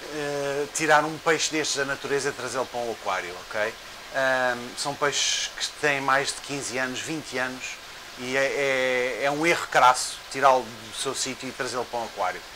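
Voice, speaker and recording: The man talks at a moderate pace with fairly even intonation. Noticeable background noise runs underneath. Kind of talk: casual vlog chat. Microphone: lapel.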